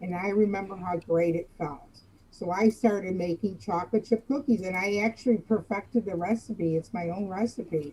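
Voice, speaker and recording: Against noticeable background noise, a woman speaks at a medium pitch with ordinary pitch variation and hardly any pauses. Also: moderate pace. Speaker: former florist. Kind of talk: casual interview chat. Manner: loud.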